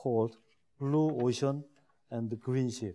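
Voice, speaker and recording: Speaking at a fairly slow pace with a Korean accent, a man has a medium pitch and a dark, mellow tone. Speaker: shipbuilding executive. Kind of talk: lecture. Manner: halting.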